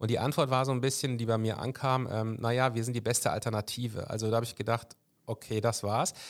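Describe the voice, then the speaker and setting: Very fast, monotone speech with flat intonation on a very clean recording with a silent background. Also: man, medium pitch for a man. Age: 40s. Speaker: podcast host. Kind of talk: interview. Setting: party district office.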